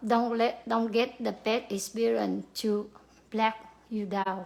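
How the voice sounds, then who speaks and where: Speaking at a fairly slow pace, a woman with a Vietnamese accent keeps a monotone, flat intonation. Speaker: pharmacy worker. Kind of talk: motivational talk. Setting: livestream to camera. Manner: halting, many fillers.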